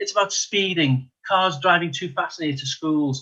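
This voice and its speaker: A man with a Liverpool accent speaks at a fairly quick pace in a bright, sharp tone with ordinary pitch variation. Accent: Liverpool (Scouse). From Liverpool, England. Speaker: local election candidate, retired police detective. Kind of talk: election hustings speech.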